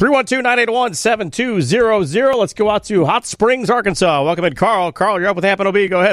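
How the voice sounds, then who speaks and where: Here a man talks with lively intonation and hardly any pauses, his pitch high. His loudness stays very even. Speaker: radio host. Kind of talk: post-game sports call-in radio talk. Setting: radio studio.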